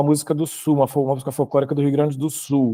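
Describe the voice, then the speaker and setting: A very fast-talking man with a fairly high pitch, dry, close sound with no echo, and a very clean recording over a silent background. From Brazil, Rio de Janeiro. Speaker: choral arranger and university professor. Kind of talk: panel discussion. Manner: halting, many fillers.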